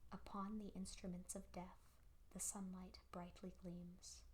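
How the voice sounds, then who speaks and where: Someone soft-spoken talks at a very slow pace. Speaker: progressive rock record collector. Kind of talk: lyric reading.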